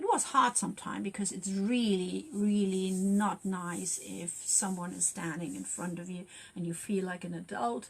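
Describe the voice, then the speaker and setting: With a German accent, a woman speaks using ordinary pitch variation. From Germany. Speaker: youth worker and wellbeing livestreamer. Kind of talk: casual livestream talk. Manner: halting.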